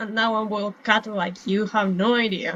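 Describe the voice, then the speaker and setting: This woman's voice is fairly high, and she talks at a fairly slow pace. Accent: non-native. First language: not English. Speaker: gaming streamer. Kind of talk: gameplay commentary. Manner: casual, rambling self-talk.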